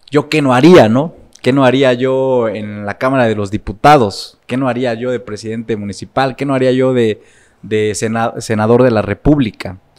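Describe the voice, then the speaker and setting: A man with a normal speaking voice, medium pitch, fairly even intonation and a moderate pace, against a quiet background. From Puebla, Mexico. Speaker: political consultant and lecturer; lecturer. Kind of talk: interview conversation. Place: studio. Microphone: studio mic.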